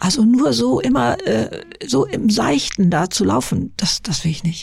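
A woman's medium-pitched voice at a fairly slow pace, with very wide pitch swings over noticeable background noise. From Lower Saxony, northern Germany. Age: 70s. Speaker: YouTuber and author. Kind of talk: interview. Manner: halting.

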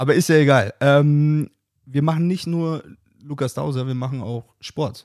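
He has a normal speaking voice with a fairly high pitch. The man talks at a fairly slow pace with ordinary pitch variation. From Bavaria, Germany. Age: 20s. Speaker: podcast host. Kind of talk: casual chat.

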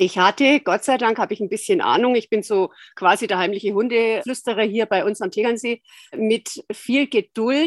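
This woman has an ordinary speaking voice, fairly high in pitch with lively intonation, moving at a moderate pace in a dry, close sound with no echo. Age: 60s. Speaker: osteopath and dog owner. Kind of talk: interview.

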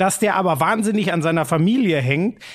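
A man with a high pitch talks at a moderate pace. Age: 30s. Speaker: sports podcast co-host. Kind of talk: casual chat.

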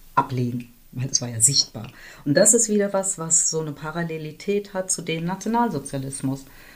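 Here a woman talks at a fairly quick pace. Her intonation is lively. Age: 60s. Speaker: community organizer and activist. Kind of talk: interview conversation.

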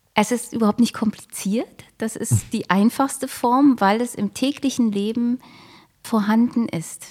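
Her voice fairly high, a woman talks at a fairly slow pace with fairly even intonation. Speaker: mindfulness coach and yoga teacher. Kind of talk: interview. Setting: studio. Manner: pleasant.

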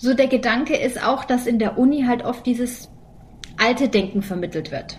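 The voice keeps a moderate pace. Its pitch varies in an ordinary way. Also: woman. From Germany. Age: 40s. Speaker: podcast co-host and comedian. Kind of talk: casual chat.

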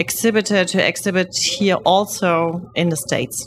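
A woman with a German accent speaks at a fairly slow pace in a medium pitch. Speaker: podcast host. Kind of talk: interview. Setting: content creator box at a trade fair.

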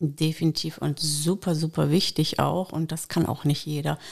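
A woman's unremarkable speaking voice, fairly low in pitch and at a fairly slow pace, in a very clean recording with a silent background. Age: 50s. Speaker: dog trainer. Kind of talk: casual chat.

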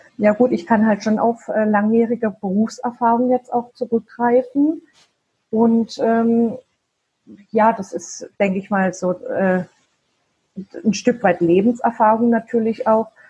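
A woman's fairly high, somewhat breathy voice with a dark, mellow tone, fairly even intonation, a very slow pace and long, frequent pauses. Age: 40s. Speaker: virtual assistant and side-business founder. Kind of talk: interview. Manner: halting, many fillers.

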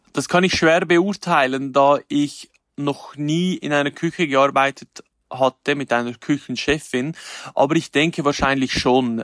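A man's fairly high-pitched, unremarkable speaking voice at a fairly slow pace, with fairly even intonation, in a dry, close sound with no echo on a very clean recording with a silent background. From Switzerland, canton Glarus. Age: 30s. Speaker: chef and influencer. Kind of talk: interview.

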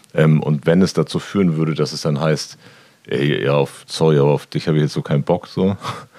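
Over noticeable background noise, a man with a very deep, low pitch talks at a fairly quick pace in a fairly even intonation. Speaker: podcast co-host. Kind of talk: casual chat.

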